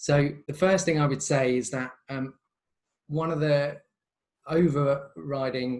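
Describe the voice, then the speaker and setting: A man talks in a somewhat breathy voice, pitched medium, with ordinary variation in pitch. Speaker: creative director of a video agency. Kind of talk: webinar presentation. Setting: video call webinar.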